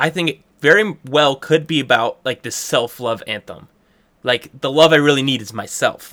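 The pace is moderate, in a plain, everyday voice with ordinary pitch variation. Very clean recording, silent background. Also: man, fairly high pitch for a man. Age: 20s. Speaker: guest musician and college student. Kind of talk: casual interview chat. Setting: office.

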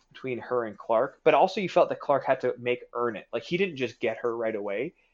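Against a quiet background, a man with an unremarkable speaking voice talks at a fairly quick pace with lively intonation. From Canada. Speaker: comic book publishing marketing executive. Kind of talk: casual chat.

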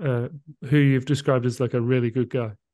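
Against a quiet background, a man with a British accent speaks in a dark, mellow tone. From Britain. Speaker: podcast co-host. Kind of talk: casual interview. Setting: video call.

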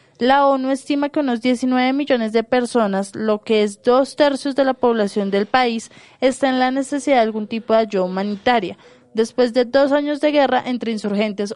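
A woman's high voice moves at a moderate pace, its intonation fairly even. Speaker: journalist. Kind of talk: news reading.

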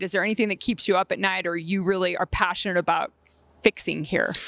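At a very fast pace, a woman with vocal fry speaks in a medium pitch and a bright, sharp tone, the sound dry and close with no echo. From Colorado, US (moved from Southern California at twelve). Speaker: podcast host. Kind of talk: casual interview. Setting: outdoors on a football practice field.

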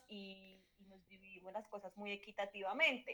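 A woman is speaking. Her tone is bright and sharp. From Colombia, Manizales. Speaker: sociologist, journalist and mother. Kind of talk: casual chat.

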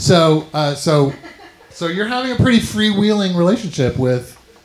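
Noticeable background noise sits behind the recording. A man speaks with very wide pitch swings. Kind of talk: live comedy show banter.

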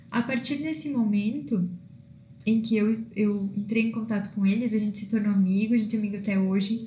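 With a dark, mellow tone and a somewhat breathy quality, a woman speaks at a moderate pace with fairly even intonation and audible room echo. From southern Brazil (northern Rio Grande do Sul). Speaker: self-development coach. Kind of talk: monologue vlog. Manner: halting with fillers.

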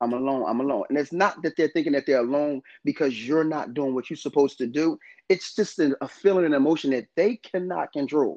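In a normal speaking voice with an American accent, a man talks at a fairly quick pace and fairly high pitch with ordinary pitch variation, in a dry, close sound with no echo and a quiet background. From northern New Jersey, US. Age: 30s. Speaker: podcast co-host. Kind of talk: casual chat.

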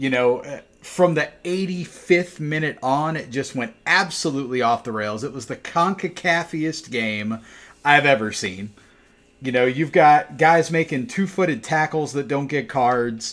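Here a man with an American accent speaks fairly slowly, in an unremarkable speaking voice. His pitch is fairly high, with lively intonation. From South Carolina, Spartanburg. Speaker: podcast host. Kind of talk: casual chat.

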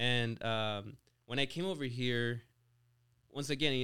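A man's medium-pitched voice with fairly even intonation. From Mexico. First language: Spanish. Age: 20s. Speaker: business owner and CEO. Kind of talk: casual interview.

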